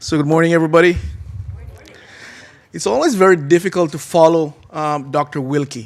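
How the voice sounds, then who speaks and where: A man with an American accent, a high pitch and ordinary pitch variation, at a moderate pace. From Jamaica. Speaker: agricultural extension agent and researcher. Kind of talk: conference presentation. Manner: casual, with many filler words.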